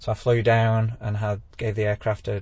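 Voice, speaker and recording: In an English accent, a man speaks at a fairly low pitch with monotone, flat intonation. His voice is somewhat breathy over a quiet background. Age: 40s. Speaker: amateur pilot. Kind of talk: interview.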